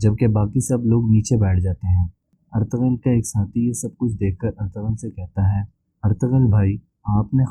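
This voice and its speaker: This man has a normal speaking voice at a fairly low pitch. His intonation stays fairly even. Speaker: drama review narrator. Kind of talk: episode recap narration.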